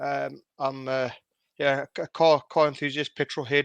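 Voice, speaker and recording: With a South African accent, a man talks at a moderate pace in a fairly high pitch and a monotone, flat intonation. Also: dry, close sound with no echo, quiet background. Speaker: secondary school teacher and car enthusiast. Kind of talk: interview. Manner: halting.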